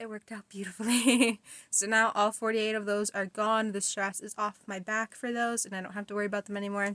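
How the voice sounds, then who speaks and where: A woman talks very fast at a fairly high pitch, flat and monotone yet with big swings in loudness, in a dry, close sound with no echo. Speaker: crochet vlogger. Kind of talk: casual vlog talk.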